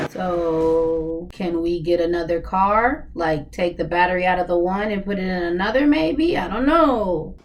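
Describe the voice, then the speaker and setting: A woman with a fairly low pitch talks at a fairly slow pace with hardly any pauses. Audible room echo and noticeable background noise come through. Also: ordinary pitch variation. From US South. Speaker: YouTube reaction commentator. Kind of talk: reaction commentary. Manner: animated.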